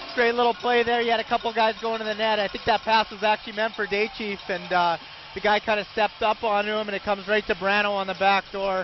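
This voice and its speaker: The tone is enthusiastic and the pace very fast. There are hardly any pauses. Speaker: color commentator. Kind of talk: live sports commentary, analyst talk. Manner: enthusiastic, conversational, excitable on big plays.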